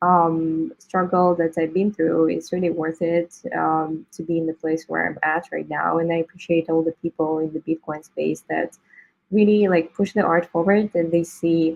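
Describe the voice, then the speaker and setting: With a non-native accent, a woman talks at a moderate pace and fairly low pitch in a monotone, flat intonation. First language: not English. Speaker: digital artist. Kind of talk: interview.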